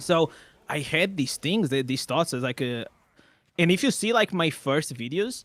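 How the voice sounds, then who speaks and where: In a very clean recording with a silent background, a man talks at a moderate pace, pitched fairly high, with lively intonation. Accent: non-native. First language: not English. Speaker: gaming content creator. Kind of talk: casual chat. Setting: live stream. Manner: loud; animated.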